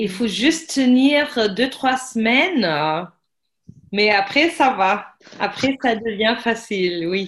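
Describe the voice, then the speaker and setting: In a German accent, a woman speaks very slowly with lively intonation. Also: fairly high pitch for a woman. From Germany. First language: German (speaking French). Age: 30s. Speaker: language teacher. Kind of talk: casual chat.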